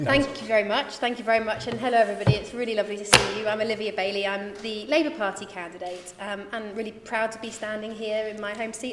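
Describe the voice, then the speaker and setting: Audible room echo surrounds a woman talking at a very fast pace. Her pitch is fairly high and her intonation fairly even. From southern England, Reading. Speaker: parliamentary candidate. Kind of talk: hustings speech.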